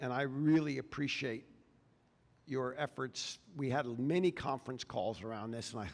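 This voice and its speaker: In a very clean recording with a silent background, a man speaks with an American accent in an ordinary speaking voice. His medium pitch carries lively intonation at a moderate pace. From Texas. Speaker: addiction recovery advocate. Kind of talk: public talk. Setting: stage with audience.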